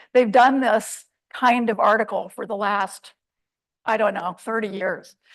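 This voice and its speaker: A fairly high-pitched female voice with monotone, flat intonation. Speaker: scientist. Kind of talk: lecture. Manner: soft-spoken.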